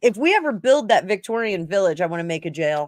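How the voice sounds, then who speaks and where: A woman speaks with a slight New Jersey accent, her pitch fairly high and her intonation lively. The recording is very clean, with a silent background. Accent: New Jersey accent, mild. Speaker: tarot reader. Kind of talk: casual chat.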